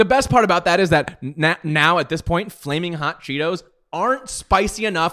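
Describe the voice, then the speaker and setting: A man's high-pitched voice, bright and sharp in tone, animated, with ordinary pitch variation. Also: moderate pace. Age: 30s. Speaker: podcast co-host. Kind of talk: casual chat.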